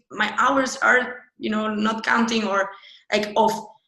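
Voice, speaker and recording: There is audible room echo as the speaker moves at a moderate pace. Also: woman. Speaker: UX designer. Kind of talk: interview. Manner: animated.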